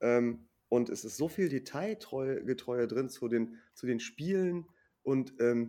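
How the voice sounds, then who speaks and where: A man's voice, dark and mellow in tone. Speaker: film podcast guest. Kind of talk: casual chat.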